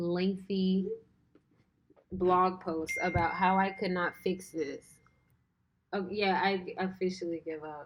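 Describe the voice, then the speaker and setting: Very slow speech from a woman, her pitch sitting in the medium range. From Louisiana. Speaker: cybersecurity streamer. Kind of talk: live stream chat. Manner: animated.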